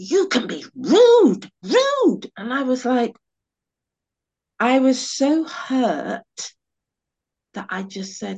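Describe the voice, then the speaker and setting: A woman with a British accent speaks at a high pitch with very wide pitch swings. Long, frequent pauses break up her speech. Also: big swings in loudness. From England, West Indian heritage. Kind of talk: personal storytelling. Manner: animated.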